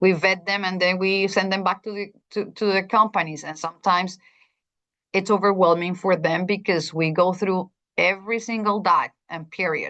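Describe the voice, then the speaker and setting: Over a quiet background, a woman with a Spanish accent speaks at a moderate pace and a medium pitch, her tone bright and sharp and her intonation monotone and flat. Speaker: school district administrator presenting to teachers. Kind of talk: presentation.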